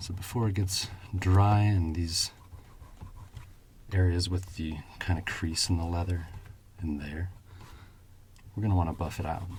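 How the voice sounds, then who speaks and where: A man with a very deep, low pitch, calm, soothing tone, and fairly even intonation. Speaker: shoe shine ASMR creator. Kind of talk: casual talk to camera, ASMR demonstration.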